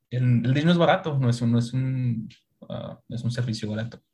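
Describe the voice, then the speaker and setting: With a Mexican accent, a man speaks at medium pitch and is somewhat breathy. His pitch variation is ordinary. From Mexico. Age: 30s. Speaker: e-commerce manager. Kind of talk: casual chat.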